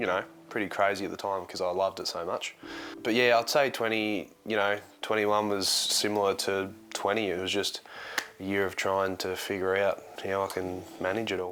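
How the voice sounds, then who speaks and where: Over noticeable background noise, a man with an Australian accent speaks at a moderate pace in a fairly low pitch, his intonation monotone and flat. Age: 20s. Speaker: documentary subject. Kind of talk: interview testimony.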